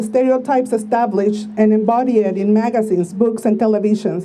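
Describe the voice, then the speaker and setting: A woman speaks at a fairly quick pace with a fairly high pitch and ordinary pitch variation. Room echo is audible. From Mexico (Tijuana). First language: Spanish. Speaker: activist speaker. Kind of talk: speech read aloud at a rally.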